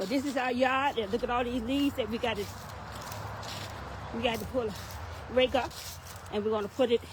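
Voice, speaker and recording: A woman's high voice comes through at a fairly brisk clip, with noticeable noise behind it. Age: 70s. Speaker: network marketing promoter. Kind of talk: casual video vlog. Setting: outdoors.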